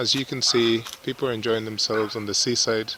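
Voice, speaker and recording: A man with a non-native accent amid noticeable background noise. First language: not English. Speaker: travel vlogger. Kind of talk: casual walking vlog narration. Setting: outdoors at the seaside.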